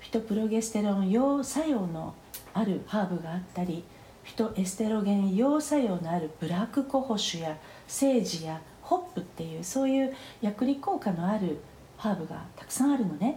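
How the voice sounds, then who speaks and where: In a normal speaking voice, someone talks at a moderate pace with lively intonation. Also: woman, medium pitch for a woman. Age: 50s. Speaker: phytotherapist. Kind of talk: interview. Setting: remote recording.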